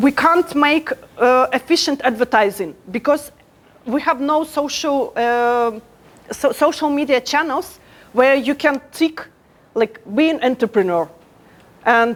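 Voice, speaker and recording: With ordinary pitch variation and very even loudness, a woman speaks in a high pitch. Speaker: startup program head. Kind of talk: conference talk. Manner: hesitant, many fillers.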